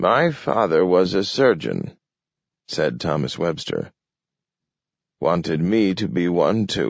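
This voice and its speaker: A man uses a gruff, put-on character voice with very wide pitch swings. He speaks at a fairly slow pace. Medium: read story. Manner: gruff, clipped, drops words.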